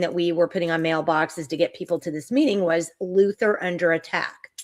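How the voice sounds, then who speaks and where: A woman's ordinary speaking voice, fairly low in pitch, at a moderate pace. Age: 60s. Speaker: online talk show host. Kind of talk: live-stream interview chat. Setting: live stream.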